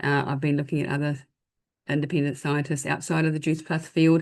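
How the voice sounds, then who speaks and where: A woman's very deep, low voice over a quiet background. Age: 60s. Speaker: pharmacist sharing product testimony. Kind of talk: testimony in online business presentation.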